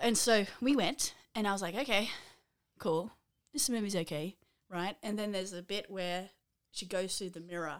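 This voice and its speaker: At a moderate pace with long, frequent pauses, the speaker uses ordinary pitch variation and an Australian accent. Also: woman, medium pitch for a woman, very clean recording, silent background. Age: 30s. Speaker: podcast co-host. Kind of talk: casual chat.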